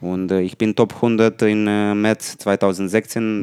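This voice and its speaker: In a Romanian accent, a man speaks very slowly in a flat monotone at a fairly low pitch, with a dry, close sound, no echo and a very clean recording over a silent background. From Romania, Buzău. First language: Romanian (speaking German). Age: 30s. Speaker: professional table tennis player. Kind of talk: casual interview. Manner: halting.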